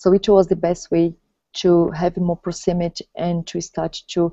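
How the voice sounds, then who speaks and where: Speaking with a Portuguese accent, a woman talks at a fairly slow pace in a fairly low pitch. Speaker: vlogger. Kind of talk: casual chat. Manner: halting.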